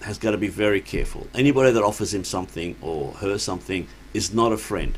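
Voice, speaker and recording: This man has a plain, everyday voice. His pitch sits fairly low. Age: 60s. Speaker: addiction worker. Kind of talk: casual chat.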